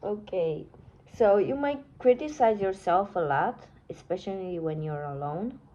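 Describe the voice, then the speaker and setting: Speaking at a fairly slow pace, a woman with a non-native accent has a dark, mellow tone at medium pitch with very wide pitch swings. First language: not English. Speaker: tarot reader. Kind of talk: tarot reading. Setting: phone recording. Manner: halting, self-correcting.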